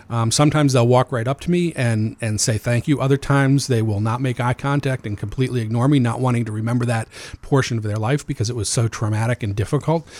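At a very fast pace, a man speaks with hardly any pauses. His medium-pitched voice keeps a fairly even intonation. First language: Amharic. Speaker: nonprofit executive director for homeless youth. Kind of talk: radio interview. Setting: radio studio.

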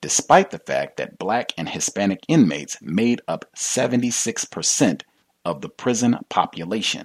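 A man speaks very slowly with vocal fry, his medium pitch swinging very widely and his loudness shifting in big swings. The sound is dry and close, with no echo. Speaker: radio talk show host. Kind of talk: call-in talk radio. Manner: casual, filler-heavy.

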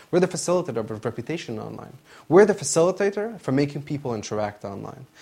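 A man speaks at a very fast pace with a fairly high pitch, very wide pitch swings and vocal fry. The recording is very clean, with a silent background. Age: 20s. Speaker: startup founder. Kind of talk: promotional pitch.

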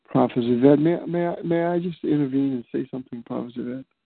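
With an ordinary speaking voice, a man talks at a fairly quick pace and ordinary pitch variation. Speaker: prayer call participant. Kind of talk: fervent group prayer. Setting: phone prayer line. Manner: fervent, repetitive, worshipful.

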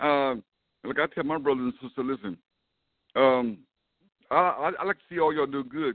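Pausing long and often, a man speaks at a moderate pace. His pitch is fairly high, with ordinary variation. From US South. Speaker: reverend. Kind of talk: call-in testimony, preaching style.

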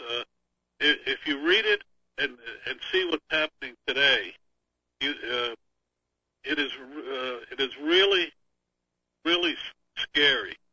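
A man speaks at a fairly slow pace. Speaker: political commentator. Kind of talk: panel discussion.

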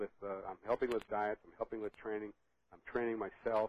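A man with a fairly low pitch and an unremarkable speaking voice. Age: 60s. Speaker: master bodybuilder. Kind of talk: casual interview chat.

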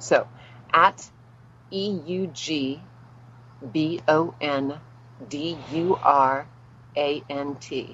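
In an American accent, a woman speaks at a very slow pace with long, frequent pauses, her very deep, low pitch showing ordinary pitch variation. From New Orleans, US South. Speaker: actress. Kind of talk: interview.

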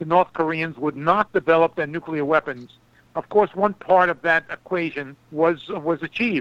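A man with a high pitch and a bright, sharp tone talks at a fairly quick pace with fairly even intonation, in a dry, close sound with no echo. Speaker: foreign policy analyst and author. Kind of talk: radio interview. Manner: formal.

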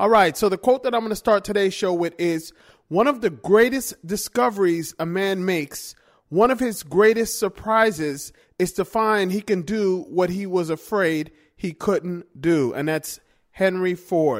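At a fairly slow pace and with ordinary pitch variation, someone talks while music plays behind. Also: man, high pitch for a man. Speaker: motivational radio host. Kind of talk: motivational pep talk. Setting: radio show. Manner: upbeat, energetic, coach-like; conversational, repeats phrases, direct address to listeners.

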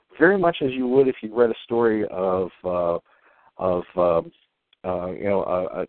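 Mumbling with lively intonation, a man speaks in an American accent. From US, upper Ohio Valley. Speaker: illustrator. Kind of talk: casual chat. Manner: mumbles, hesitant with fillers.

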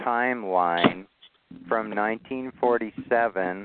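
The sound is dry and close, with no echo. A man talks at a fairly low pitch in a clear, smooth tone with fairly even intonation.

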